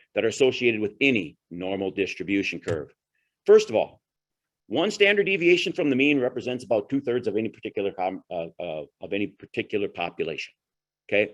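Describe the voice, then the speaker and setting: The speech races along at a very fast pace with very wide pitch swings. The background is quiet. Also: man. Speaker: agronomy presenter; presenter. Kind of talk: presentation to growers. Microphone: webcam.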